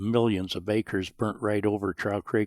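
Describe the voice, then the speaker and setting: A man with an American accent talks at a fairly slow pace and fairly low pitch in a monotone, flat intonation. The sound is dry and close, with no echo. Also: very clean recording, silent background. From Montana, rural. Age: 70s. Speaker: rancher. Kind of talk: interview storytelling.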